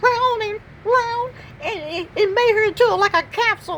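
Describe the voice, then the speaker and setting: An extremely high-pitched put-on character voice comes through over clear background noise. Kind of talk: comic pet voiceover. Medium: voice reel. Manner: rambling, repetitive, stammering.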